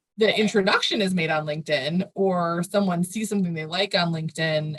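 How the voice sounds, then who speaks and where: A woman with a fairly low pitch sounds somewhat breathy, her pitch moving in an ordinary way. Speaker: marketing agency founder. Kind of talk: podcast interview. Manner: fast.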